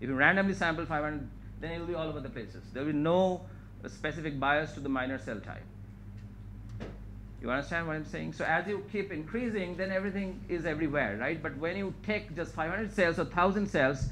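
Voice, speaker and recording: Very fast man with vocal fry, fairly high pitch, ordinary pitch variation, and audible room echo. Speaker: scientist giving a research talk. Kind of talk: lecture.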